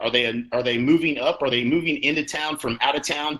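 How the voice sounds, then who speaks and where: A man's very fast speech in a bright, sharp tone. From Oklahoma (Lawton). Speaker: real estate coach. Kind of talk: conference talk. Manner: repetitive false starts.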